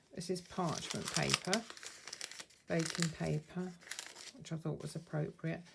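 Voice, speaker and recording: With a southern English accent, the speaker talks at a fairly slow pace with fairly even intonation and long, frequent pauses, over noticeable background noise. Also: woman, fairly low pitch for a woman. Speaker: craft youtuber. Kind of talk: show and tell tutorial. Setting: at home. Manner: soft-spoken; quiet.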